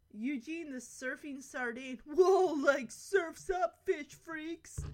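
A woman puts on a character voice, high in pitch and delivered at a very slow pace. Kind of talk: casual slang. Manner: laid-back, goofy.

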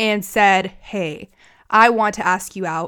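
The speaker has an American accent and a plain, everyday voice with ordinary pitch variation. The recording is very clean and the background silent. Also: woman. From United States. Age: 20s. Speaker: podcast host. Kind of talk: casual monologue. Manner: casual, chatty with filler words.

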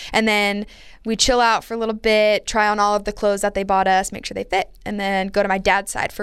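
Very clean and recorded against a silent background, a woman talks at a fairly quick pace in an ordinary speaking voice, with medium pitch and fairly even intonation. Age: 20s. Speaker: podcast co-host. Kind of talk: casual chat. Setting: studio.

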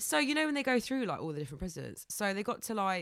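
A woman speaks at a very fast pace. Her pitch swings very widely. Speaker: podcast co-host. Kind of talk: casual chat.

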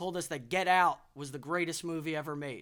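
High-pitched male voice with an American accent, on a very clean recording with a silent background. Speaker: podcast host. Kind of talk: casual podcast interview. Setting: studio. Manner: animated, casual and enthusiastic.

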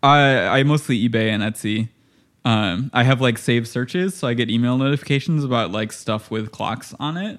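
An ordinary speaking voice from a man, medium in pitch with ordinary pitch variation and a moderate pace. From Illinois, US Midwest. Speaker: artist and musician. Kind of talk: casual chat.

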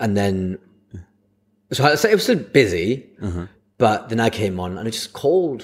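Speaking with a Lancashire accent at a moderate pace, a man with a medium pitch uses lively intonation, big swings in loudness, and long, frequent pauses. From Blackburn, Lancashire, northern England. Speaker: comedian. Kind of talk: casual chat.

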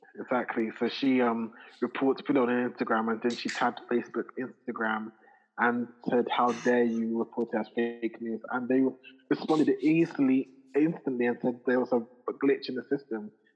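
At a moderate pace and a medium pitch, a man talks in an unremarkable speaking voice with fairly even intonation. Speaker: podcast co-host. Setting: remote recording.

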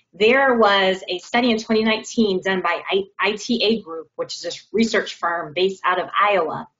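A woman with a normal speaking voice at medium pitch talks at a fairly slow pace with hardly any pauses, ordinary pitch variation and big swings in loudness. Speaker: diversity and inclusion director. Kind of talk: panel discussion. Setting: video call.

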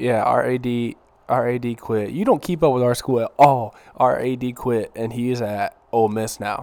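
On a very clean recording with a silent background, a man with a plain, everyday voice talks at a moderate pace in a medium pitch, keeping his intonation fairly even. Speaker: podcast co-host. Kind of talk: casual chat.

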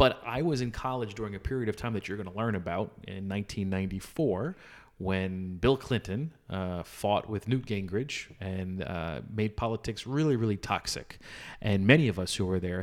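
A man speaks at a moderate pace in an ordinary speaking voice, fairly low in pitch with ordinary pitch variation. The recording is very clean, with a silent background. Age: 40s. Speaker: podcast co-host, father. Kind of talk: casual chat.

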